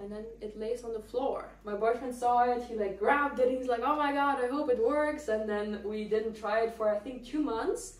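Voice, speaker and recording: Over noticeable background noise, someone with a non-native accent speaks at a moderate pace with hardly any pauses. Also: woman, high pitch for a woman, ordinary pitch variation. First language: not English. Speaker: lifestyle vlogger. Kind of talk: casual apartment tour. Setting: at home. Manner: casual, hesitant with fillers.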